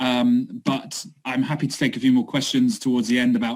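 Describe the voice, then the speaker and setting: A man is speaking. His pace is fairly quick. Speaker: city sustainability project worker. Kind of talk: online talk presentation. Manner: fast.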